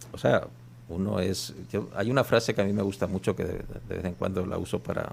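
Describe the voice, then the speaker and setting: Fairly low-pitched male speech with vocal fry, lively intonation and a fairly quick pace. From Spain, Basque Country. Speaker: journalist. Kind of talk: radio interview. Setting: radio studio.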